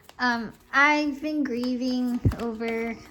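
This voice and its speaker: A woman's fairly high voice with fairly even intonation, over noticeable background noise. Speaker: tarot reader. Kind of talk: casual monologue to camera. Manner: halting, self-correcting.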